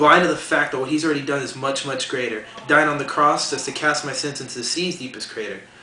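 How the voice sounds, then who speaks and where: Against noticeable background noise, a man talks at a very fast pace with a fairly high pitch and ordinary pitch variation. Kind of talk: spoken word poetry performance.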